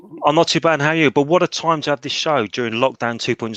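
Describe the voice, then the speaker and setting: A man with a London accent talks at a very fast pace with lively intonation. The sound is dry and close, with no echo. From North London, Tottenham. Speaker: co-host. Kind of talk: casual chat. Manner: animated.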